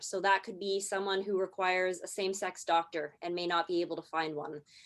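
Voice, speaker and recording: A plain, everyday voice: a woman with a Canadian accent, medium pitch and a fairly quick pace, on a very clean recording with a silent background. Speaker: marketing strategist presenter. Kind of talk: presentation.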